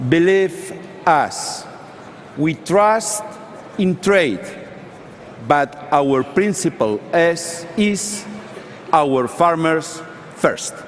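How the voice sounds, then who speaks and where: A man's high-pitched voice at a very slow pace, with ordinary pitch variation, long, frequent pauses and noticeable background noise. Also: very even loudness. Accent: Spanish. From Spain. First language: Spanish. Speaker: politician. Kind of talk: panel discussion.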